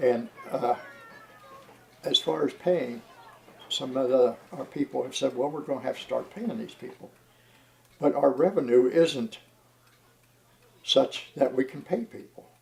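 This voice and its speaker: A man's medium-pitched voice with lively intonation, long and frequent pauses, and big swings in loudness, over noticeable background noise. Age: 80s+. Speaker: heritage railway president. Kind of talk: documentary interview. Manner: halting.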